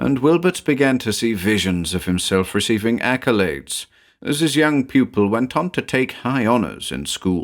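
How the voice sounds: Lively intonation in a natural-sounding reading voice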